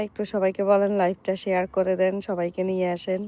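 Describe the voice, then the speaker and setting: A woman's voice has a dark, mellow tone. The sound is dry and close, with no echo. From Bangladesh, Noakhali. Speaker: vlogger. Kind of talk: live stream chat. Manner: animated.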